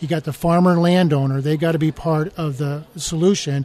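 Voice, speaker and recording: In a normal speaking voice, a man with an American accent talks at a moderate pace, his pitch fairly high and his intonation fairly even. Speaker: mayor and political candidate. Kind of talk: radio interview. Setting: conference, recorded live.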